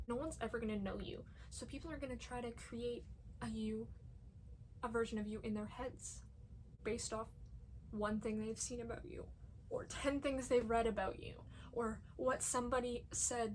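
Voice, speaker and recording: A woman speaks at a moderate pace. Room echo is audible around her. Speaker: vlogger. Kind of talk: casual monologue. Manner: halting, repeats words. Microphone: poor audio quality.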